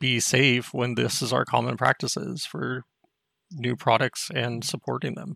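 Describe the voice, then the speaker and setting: A man with an American accent talks at a medium pitch with vocal fry. The sound is dry and close, with no echo. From Texas. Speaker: caller, IT worker. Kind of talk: call-in question.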